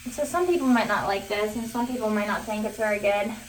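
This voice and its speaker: Over noticeable background noise and audible room echo, a woman talks at a fairly quick pace in a fairly high voice with ordinary pitch variation. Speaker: beauty vlogger. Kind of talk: tutorial. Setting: bathroom.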